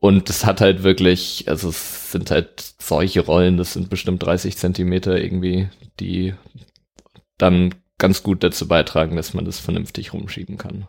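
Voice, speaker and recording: The man's pitch is very deep and low. He speaks at a fairly slow pace with monotone, flat intonation. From Germany, Dortmund (Ruhr area). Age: 20s. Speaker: student and street pianist. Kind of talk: casual interview.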